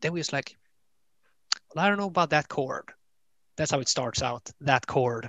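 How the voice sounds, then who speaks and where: In a dry, close sound with no echo and a quiet background, a man speaks at a fairly high pitch in a bright, sharp tone. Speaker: musician. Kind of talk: casual interview.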